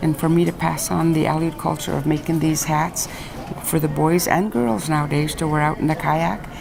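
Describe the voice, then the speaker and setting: A woman's very deep, low voice at a moderate pace, with audible room echo and noticeable background noise. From Alaska, Aleutian Islands. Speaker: traditional artist and teacher. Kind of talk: interview. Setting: school visit.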